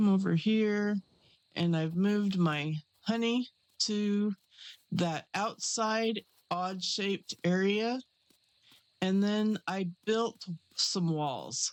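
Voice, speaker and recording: Quiet and very slow, a woman speaks at a medium pitch with ordinary pitch variation and long, frequent pauses, the sound dry and close with no echo. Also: very even loudness. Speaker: gaming YouTuber. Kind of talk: casual gameplay commentary. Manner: hushed, quiet.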